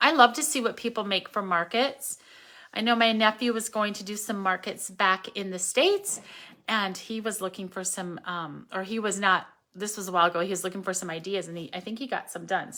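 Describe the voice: A put-on character voice, hoarse and at a fairly quick pace. The recording is very clean, with a silent background. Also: woman, medium pitch for a woman.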